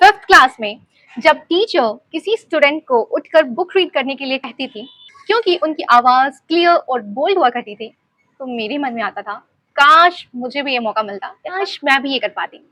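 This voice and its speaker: A woman with a high pitch uses a raised, projected voice, with very wide pitch swings and big swings in loudness, in a dry, close sound with no echo. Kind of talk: personal story, casual talk to camera. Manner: reflective, sincere.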